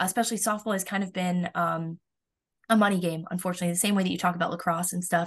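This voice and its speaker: A woman with an American accent, very fast and somewhat breathy, at a medium pitch and in a flat monotone, against a quiet background. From Florida. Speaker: college softball pitcher. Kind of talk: interview.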